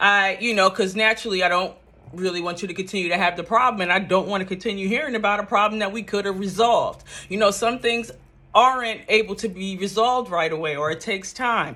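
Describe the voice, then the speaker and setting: A woman with a medium-pitched voice talks at a very fast pace. Her pitch varies in an ordinary way. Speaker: vlogger. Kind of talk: casual monologue. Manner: casual, conversational.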